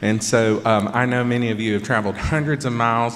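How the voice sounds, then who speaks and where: A man with a Georgia accent speaks at a fairly quick pace with fairly even intonation, against noticeable background noise and audible room echo. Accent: Southern (Georgia). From Georgia, US South. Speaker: pianist, performer. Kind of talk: concert stage talk.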